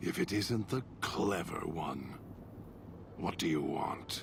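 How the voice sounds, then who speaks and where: Over loud background noise, a man uses a put-on character voice, very deep and low, at a fairly slow pace. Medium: video game. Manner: alternating cold menace and simple childish speech.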